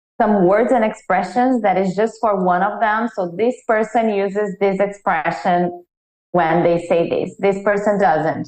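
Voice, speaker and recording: A woman speaks with a non-native accent at medium pitch. Her loudness stays very even. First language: not English. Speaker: writer. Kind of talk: panel discussion.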